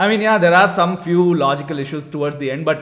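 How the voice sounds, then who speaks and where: The speaker has an Indian accent and talks at a very fast pace with ordinary pitch variation, over noticeable background noise. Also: man. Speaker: podcast co-host. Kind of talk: casual chat. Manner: loud.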